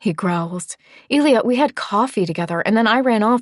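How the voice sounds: The intonation rises and falls in a lively way. It belongs to a natural reading voice.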